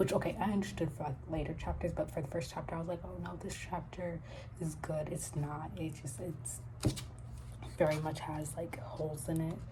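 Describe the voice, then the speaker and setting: A soft-spoken woman with a very deep, low pitch and ordinary pitch variation talks at a moderate pace amid audible room echo. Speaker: novelist vlogger. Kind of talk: casual vlog. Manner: soft-spoken, quiet; halting, many fillers.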